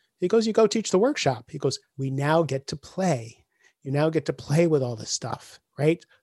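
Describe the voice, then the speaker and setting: The sound is dry and close with no echo, as a man speaks at a moderate pace with a fairly high pitch. His tone is dark, mellow and somewhat breathy, with lively intonation. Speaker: executive coach and author. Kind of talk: casual interview chat.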